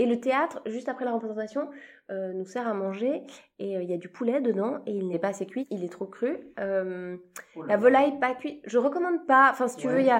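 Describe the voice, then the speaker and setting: Speaking at a fairly quick pace, a woman uses an unremarkable speaking voice with fairly high pitch and lively intonation. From Switzerland. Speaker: comedian. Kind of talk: casual chat. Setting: backstage after a show.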